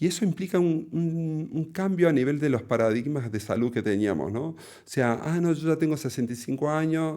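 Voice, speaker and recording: This man has a fairly high pitch and a dark, mellow tone, with lively intonation at a moderate pace. He hardly pauses, and the recording is very clean with a silent background. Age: 40s. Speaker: cardiologist. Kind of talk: interview conversation. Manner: halting, many fillers.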